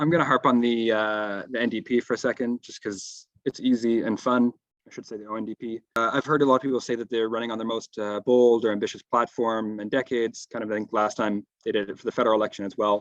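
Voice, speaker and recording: At a very fast pace with hardly any pauses, a man speaks at a medium pitch in a monotone, flat intonation. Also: dry, close sound with no echo. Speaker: panel speaker, union activist. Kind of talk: panel presentation.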